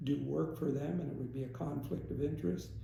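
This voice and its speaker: A man speaks in a Northeast Pennsylvania accent. Noticeable background noise sits behind him. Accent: Northeastern Pennsylvania American English. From Stroudsburg, Pennsylvania. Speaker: aquatic biologist. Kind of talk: interview answer.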